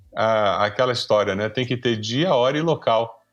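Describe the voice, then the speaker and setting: A man at a fairly slow pace with ordinary pitch variation and music in the background. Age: 60s. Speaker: pastor and professor. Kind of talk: podcast conversation.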